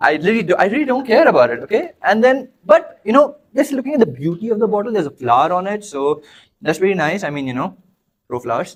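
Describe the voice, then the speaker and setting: The delivery is animated, with very wide pitch swings and an Indian accent. The pace is very fast. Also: man, high pitch for a man. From Dubai, of Indian heritage. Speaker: podcast co-host. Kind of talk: playful improvised monologue in a party game.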